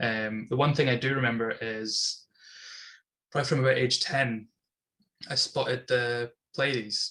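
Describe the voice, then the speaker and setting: A man's bright, sharp tone at a medium pitch, with fairly even intonation, a moderate pace and long, frequent pauses. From Scotland, Inverness. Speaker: astronomy club member. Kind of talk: casual interview. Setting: video call.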